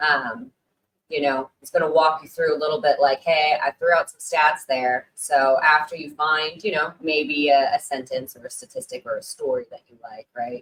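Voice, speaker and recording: This woman speaks at a moderate pace with a very deep, low pitch, ordinary pitch variation and big swings in loudness. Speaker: live stream host on condom sales marketing. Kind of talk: live stream talk. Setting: live stream. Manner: casual, filler-heavy.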